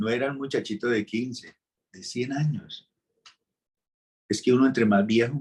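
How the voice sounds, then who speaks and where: Medium pitch, ordinary pitch variation and a moderate pace from a man with a plain, everyday voice. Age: 60s. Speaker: pastor. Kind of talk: sermon.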